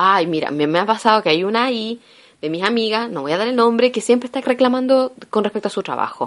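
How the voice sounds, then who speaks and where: A woman with a Chilean accent, fairly high in pitch, talking at a very fast pace with an animated tone and lively intonation. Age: 30s. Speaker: podcaster. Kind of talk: casual monologue.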